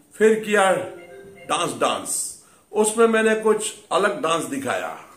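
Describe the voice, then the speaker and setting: Over faint background music and audible room echo, a man speaks at a very slow pace. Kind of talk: comic monologue in a mock interview. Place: home room. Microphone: phone near.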